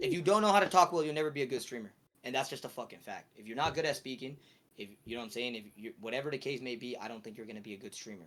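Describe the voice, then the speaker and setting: Talking at a very fast pace, a man with a medium pitch makes big swings in loudness. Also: lively intonation. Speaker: streamer. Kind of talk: casual chat.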